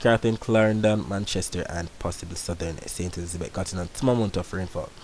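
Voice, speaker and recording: A man speaks at a fairly quick pace with a fairly low pitch and ordinary pitch variation. Noticeable background noise runs under his voice. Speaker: weather forecaster, video creator. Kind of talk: weather report narrated over satellite and forecast maps. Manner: run-on, rapid delivery of long unbroken sentences; repetitive map-pointing phrasing, 'right there', 'portions of'.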